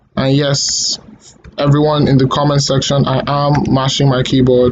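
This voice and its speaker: Noticeable background noise sits under a man speaking at medium pitch and a moderate pace. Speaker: coding tutorial creator. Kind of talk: tutorial. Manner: halting, stuttering; hesitant with fillers.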